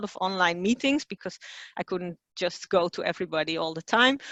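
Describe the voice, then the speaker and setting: A woman speaks with a Dutch accent. Her pitch sits at a medium level. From Netherlands. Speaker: communications director. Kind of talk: webinar presentation. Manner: hesitant, many fillers.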